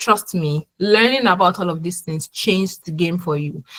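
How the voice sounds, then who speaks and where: A somewhat breathy woman talks at a moderate pace and fairly low pitch with ordinary pitch variation, the sound dry and close with no echo. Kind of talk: webinar presentation. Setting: online webinar.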